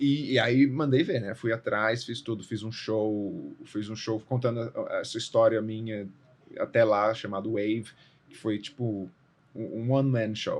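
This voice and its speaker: Over a quiet background, a man at medium pitch speaks at a fairly slow pace with fairly even intonation and big swings in loudness. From Brazil, Brasília. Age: 30s. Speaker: actor and theatre director. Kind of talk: podcast interview. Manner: casual, with false starts.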